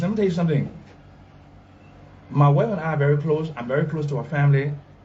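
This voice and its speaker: With audible room echo around him, a man speaks at a very fast pace in a fairly high pitch. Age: 70s. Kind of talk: press interview. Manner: halting.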